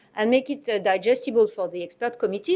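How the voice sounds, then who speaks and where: Speaking with a French accent, a woman has a fairly high pitch. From France. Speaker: medicines regulator. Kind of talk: presentation. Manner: halting.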